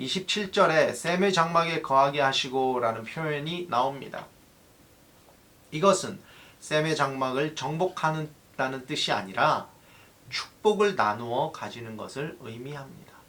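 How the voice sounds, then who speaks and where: In a room with audible echo, a man speaks at a fairly slow pace with fairly high pitch and lively intonation. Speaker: pastor. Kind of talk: sermon. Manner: halting, self-correcting.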